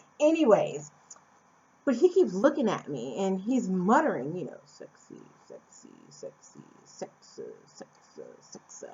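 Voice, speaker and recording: A woman with an American accent speaks at a fairly slow pace, leaving long, frequent pauses. Her loudness swings a lot. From Phoenix, Arizona, USA. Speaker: vlogger. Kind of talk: casual talk to camera.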